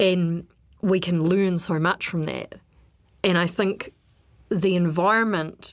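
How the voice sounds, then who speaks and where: Speaking with a New Zealand accent, a woman goes at a fairly slow pace with fairly even intonation. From New Zealand, Wellington. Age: 30s. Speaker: freshwater ecologist and regional councillor. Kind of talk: interview.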